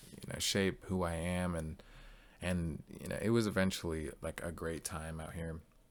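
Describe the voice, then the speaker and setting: At a fairly quick pace, a man with a very deep, low pitch and an American accent talks with fairly even intonation. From Northern California, Bay Area. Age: 20s. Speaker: college student. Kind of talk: class presentation. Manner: casual with many fillers.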